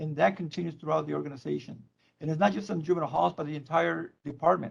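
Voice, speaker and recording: A man speaks with a Spanish accent. His pace is very fast. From Mexico (Tijuana). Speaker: probation chief. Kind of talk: public meeting presentation. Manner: halting, repeats words.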